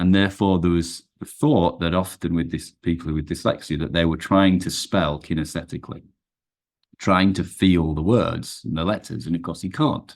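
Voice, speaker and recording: Very deep, low male tones with ordinary pitch variation. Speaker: performance coach. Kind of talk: podcast interview. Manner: fast; halting.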